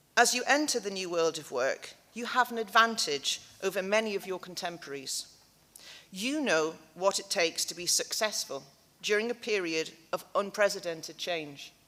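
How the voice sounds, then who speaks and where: Speaking at a moderate pace, a woman with a medium pitch uses lively intonation and big swings in loudness. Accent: north-east English. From North East England (Newcastle area). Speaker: graduation keynote speaker. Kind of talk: ceremonial speech. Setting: hall with audience. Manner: animated.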